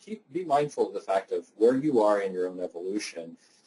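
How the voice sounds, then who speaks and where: A man is speaking. He goes at a very fast pace. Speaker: nonprofit executive presenter. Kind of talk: webinar presentation. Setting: online webinar. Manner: repetitive stammering restarts.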